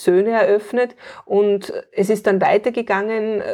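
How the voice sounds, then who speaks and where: Speaking at a very slow pace, a woman has a dark, mellow tone. Her intonation stays monotone and flat. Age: 40s. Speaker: painting-play facilitator and homeschooling mother. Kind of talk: interview.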